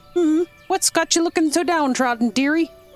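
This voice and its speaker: Over faint music in the background, a female-sounding put-on character voice with an extremely high pitch speaks at a moderate pace. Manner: warm, fussing, concerned.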